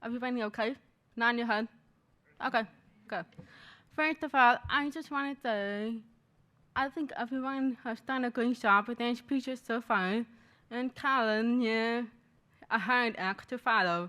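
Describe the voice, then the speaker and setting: In a very clean recording with a silent background, a woman speaks in a high, bright, sharp voice with fairly even intonation and long, frequent pauses. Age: 20s. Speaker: graduate student speaker. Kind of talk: personal testimony speech. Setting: library event with audience. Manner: fast.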